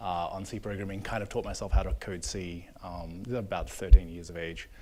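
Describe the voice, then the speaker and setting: The voice belongs to a man with an Australian accent. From Australia, Melbourne. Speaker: software engineer. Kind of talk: panel discussion. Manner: halting.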